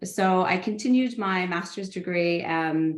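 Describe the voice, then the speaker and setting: Through audible room echo, a woman with a Canadian accent speaks at a fairly low pitch. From Canada. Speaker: international development professional. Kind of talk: panel discussion. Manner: halting, many fillers.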